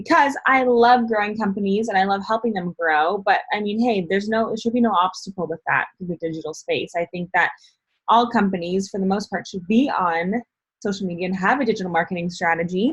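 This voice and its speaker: A woman of medium pitch talks fairly quickly in a somewhat breathy voice, her pitch varying in an ordinary way. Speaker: motivational speaker and digital marketer. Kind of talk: online training / tutorial. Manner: casual, filler-heavy (um, like).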